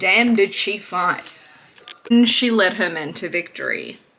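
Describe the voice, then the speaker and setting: Against noticeable background noise, a woman speaks at a moderate pace with a medium pitch and ordinary pitch variation. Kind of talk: history storytelling to camera. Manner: casual, irreverent.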